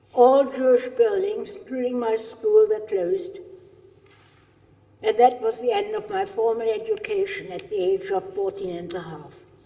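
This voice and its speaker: With a German accent, the speaker moves at a fairly slow pace, using very wide pitch swings and long, frequent pauses. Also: woman. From Germany. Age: 80s+. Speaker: Holocaust survivor. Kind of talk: testimony. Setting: stage with audience.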